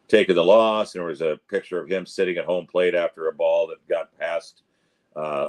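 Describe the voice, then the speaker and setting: A man talks at a fairly quick pace, and the sound is dry and close with no echo. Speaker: stadium public address announcer, interview guest. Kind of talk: interview answer, recounting baseball memories.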